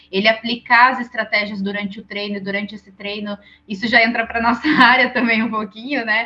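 Here is a woman with a plain, everyday voice. Her pitch is fairly high and her pace fairly quick. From Brazil, interior of São Paulo state (Santa Bárbara d'Oeste). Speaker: triathlete and nutritionist. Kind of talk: podcast interview.

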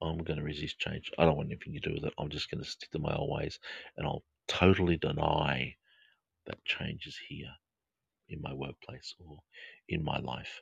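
A man with an Australian accent, a very deep, low pitch and vocal fry, calm and relaxed in tone, monotone and flat, at a moderate pace with long, frequent pauses and big swings in loudness. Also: dry, close sound with no echo. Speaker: counselor and podcast host. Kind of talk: live podcast with guided meditation. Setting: home studio, live stream. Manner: calm, relaxed, soothing.

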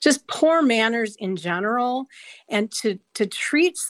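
Dry, close sound with no echo and a silent background on a very clean recording, a woman in an Upper Midwest accent, fairly high pitched with very wide pitch swings. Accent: Upper Midwest American. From Wisconsin, north of Milwaukee. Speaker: guest sharing personal story. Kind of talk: personal storytelling.

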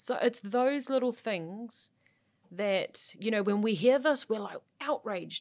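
A woman talks at a fairly slow pace in a fairly high pitch with a New Zealand accent. Her pitch varies in an ordinary way, and the recording is very clean with a silent background. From New Zealand, South Auckland. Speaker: sports journalist. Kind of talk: casual chat.

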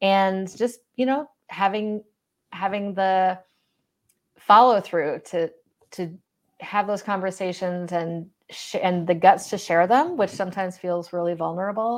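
Heard in a very clean recording with a silent background, a woman uses an ordinary speaking voice at medium pitch, with ordinary pitch variation and a fairly slow pace. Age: 40s. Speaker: recovery coach and podcaster. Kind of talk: interview.

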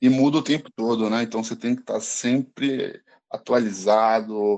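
His tone dark and mellow, a man talks at a fairly slow pace and medium pitch against a quiet background. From Brazil, São Paulo city. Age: 20s. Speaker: pharmaceutical sales representative. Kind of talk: casual chat.

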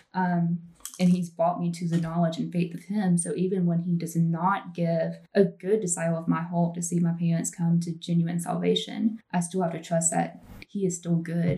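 A woman speaks in a fairly low, somewhat breathy voice with a dark, mellow tone. Her intonation is monotone and flat, and her pace is moderate. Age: 20s. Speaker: podcast host. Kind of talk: casual chat.

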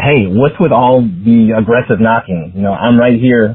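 A man with a medium pitch speaks in an unremarkable speaking voice. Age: 30s. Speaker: friend of the host. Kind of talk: recorded voice message.

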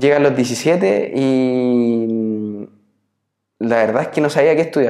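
Speaking at a very slow pace with very even loudness, a man with a Chilean accent uses a medium pitch and ordinary pitch variation. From Chile, Biobío region (Nacimiento). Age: 30s. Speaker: entrepreneur, former tennis player. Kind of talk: interview. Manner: halting, many repetitions and fillers.

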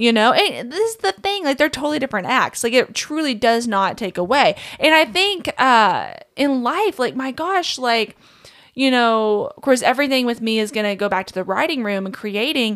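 A woman with a Kentucky accent talks in an animated tone at a moderate pace. Her high-pitched voice moves through very wide pitch swings. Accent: Southern US (Kentucky). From Kentucky, small town. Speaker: songwriter and musician. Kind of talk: casual chat.

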